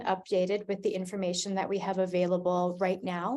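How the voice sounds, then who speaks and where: Someone with a Canadian accent speaks over a quiet background. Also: woman. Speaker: arts funding director. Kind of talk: scripted presentation. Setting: video call. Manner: slow, read from script.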